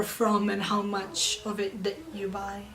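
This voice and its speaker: Very slow speech from a woman amid noticeable background noise. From Serbia, partly raised in Italy and Moscow. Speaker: interviewee. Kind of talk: interview.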